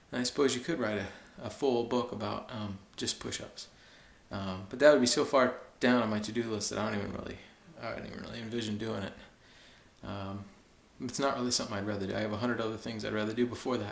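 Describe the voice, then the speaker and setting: This soft-spoken man talks at a very fast pace with fairly even intonation. Audible room echo surrounds his voice. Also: medium pitch for a man. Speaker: fitness video blogger. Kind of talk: video blog monologue. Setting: basement at home at night. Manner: halting.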